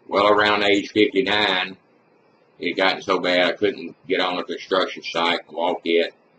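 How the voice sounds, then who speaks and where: Here a man talks in a Mississippi accent. His delivery is monotone and flat. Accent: Southern US (Mississippi). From US South, Mississippi. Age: 60s. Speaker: retired construction worker. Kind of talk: personal testimony. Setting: webcam recording. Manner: casual.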